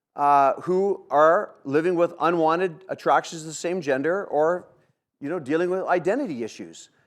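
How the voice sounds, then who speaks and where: The recording is very clean with a silent background. A man with a high pitch speaks at a moderate pace with ordinary pitch variation. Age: 60s. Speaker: ministry leader and church seminar speaker. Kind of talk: seminar talk to church audience.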